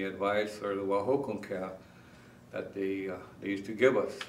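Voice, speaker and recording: A man speaks at a moderate pace with a fairly low pitch. Noticeable background noise and audible room echo fill the recording. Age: 60s. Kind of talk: interview. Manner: halting, many fillers.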